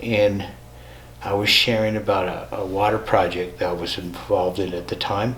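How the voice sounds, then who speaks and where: With audible room echo and noticeable background noise, a man with an American accent talks at a moderate pace. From US Midwest, North Dakota. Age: 70s. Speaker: spiritual teacher. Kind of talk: personal testimony. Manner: conversational, with hesitations.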